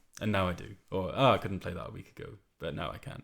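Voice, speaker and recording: The man's pitch is very deep and low, with ordinary variation. He talks at a fairly quick pace. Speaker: amateur musician. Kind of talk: casual monologue. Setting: home room, alone. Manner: fast.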